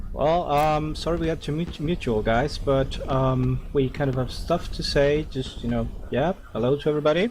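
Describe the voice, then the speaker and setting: Hardly pausing, a man with a non-native accent talks at a moderate pace and fairly high pitch. Noticeable background noise runs underneath. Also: ordinary pitch variation. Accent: funny accent, non-native. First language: not English. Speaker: gaming community leader. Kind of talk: speech to online gaming community. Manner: hesitant, many fillers.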